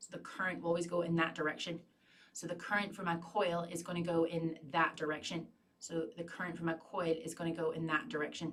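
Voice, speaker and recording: A woman with an American accent talks at a fairly quick pace, her pitch fairly low and her intonation fairly even. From Northern Ireland. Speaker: physics tutor. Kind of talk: livestream tutorial Q&A.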